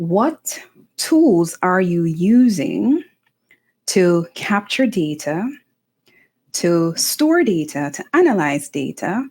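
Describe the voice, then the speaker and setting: Very slow speech from a woman at medium pitch, with very wide pitch swings, long, frequent pauses and a very clean recording over a silent background. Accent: American. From Jamaica. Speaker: author and motivational vlogger. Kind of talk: motivational talk to camera.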